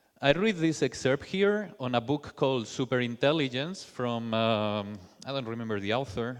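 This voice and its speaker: In a Spanish accent, a man with a medium-pitched voice speaks with lively intonation. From Spain. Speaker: software developer, conference speaker. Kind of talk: conference talk. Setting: stage with audience. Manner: halting, with fillers.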